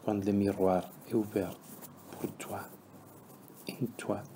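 A man speaks very slowly at fairly low pitch. His tone is dark and mellow, calm and soothing. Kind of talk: guided meditation. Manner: slow, calm, soothing, with long pauses between trilingual instructions.

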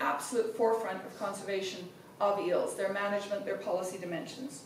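At a fairly quick pace, a woman talks with ordinary pitch variation, audible room echo and light background noise. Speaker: host introducing a speaker. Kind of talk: formal speaker introduction. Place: hall.

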